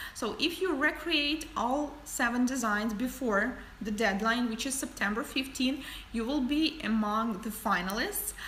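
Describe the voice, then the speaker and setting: With a non-native accent, a woman speaks fairly slowly at a high pitch, with audible room echo and noticeable background noise. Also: lively intonation. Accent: foreign. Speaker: nail artist and educator. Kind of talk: livestream tutorial and Q&A. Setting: livestream. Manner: casual, some hesitations.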